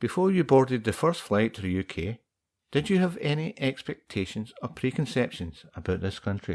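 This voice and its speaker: Speaking with a Scottish accent at a moderate pace, a man of medium pitch makes very wide pitch swings. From Scotland. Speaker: podcast host. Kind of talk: casual interview.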